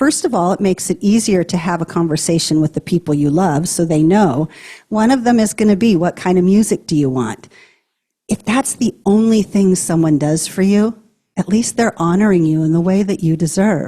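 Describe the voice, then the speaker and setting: A woman's somewhat breathy, dark and mellow voice at medium pitch, with lively intonation, a moderate pace, very even loudness and a dry, close sound free of echo. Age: 60s. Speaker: hospice nurse and end-of-life educator. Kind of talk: talk to a live audience.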